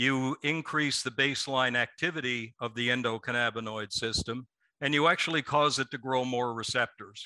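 A man speaks at a moderate pace in a medium pitch with a bright, sharp tone and fairly even intonation. The sound is dry and close with no echo, over a quiet background. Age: 60s. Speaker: company executive. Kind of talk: interview.

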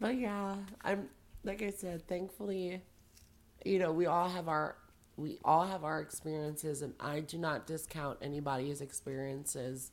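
Moderate pace and ordinary pitch variation. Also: woman, very deep, low pitch for a woman. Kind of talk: casual chat.

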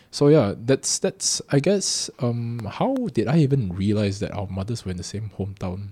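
A man's somewhat breathy, dark and mellow voice at a medium pitch, with lively intonation, a moderate pace and hardly any pauses. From Singapore. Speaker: podcast co-host. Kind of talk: casual chat. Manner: halting, many false starts; laughs often.

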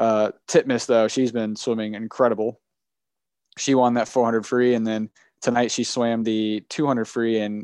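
Against a quiet background, a man with a normal speaking voice talks at a moderate pace and medium pitch, the sound dry and close with no echo. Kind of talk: live commentary over a race, improvised. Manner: excited, breathless, urgent, coaching the runner aloud.

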